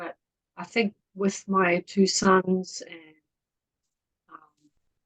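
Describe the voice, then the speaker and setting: A woman speaks with a New Zealand accent at a fairly low pitch. The sound is dry and close with no echo. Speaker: community volunteer. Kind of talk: casual interview chat.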